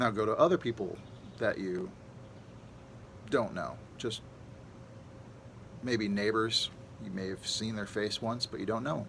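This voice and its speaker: Speaking at a fairly slow pace, a man with a medium pitch uses ordinary pitch variation and leaves long, frequent pauses. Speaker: meditation guide. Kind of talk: guided meditation.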